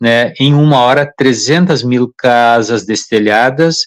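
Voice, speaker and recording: The voice moves at a fairly slow pace, the sound dry and close with no echo. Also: man. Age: 60s. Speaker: public water and drainage official. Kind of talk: live-stream interview. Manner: halting, with many fillers.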